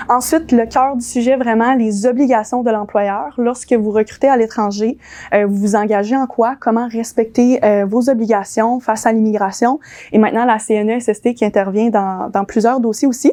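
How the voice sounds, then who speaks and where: Speaking at a moderate pace, a woman uses a fairly high pitch and a dark, mellow tone, with very even loudness and fairly even intonation. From US, moved to Quebec in childhood. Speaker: immigration lawyer. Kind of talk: conference presentation. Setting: dinner conference room with audience. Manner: hesitant, many fillers.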